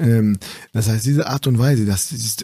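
This man's voice is fairly low-pitched and somewhat breathy. His pitch varies an ordinary amount. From northern Germany, East Frisia (Aurich). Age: 30s. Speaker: physician. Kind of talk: casual interview.

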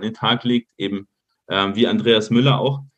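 A man's plain, everyday voice at a medium pitch and fairly quick pace, with fairly even intonation. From Munich, Bavaria. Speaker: football data analyst. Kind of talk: podcast interview.

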